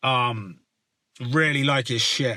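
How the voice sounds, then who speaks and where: A man in a West Country accent speaks at a very slow pace. His tone is bright and sharp, and his intonation is fairly even. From West Country, Somerset. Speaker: rapper. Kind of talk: casual Q&A vlog. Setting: outdoors.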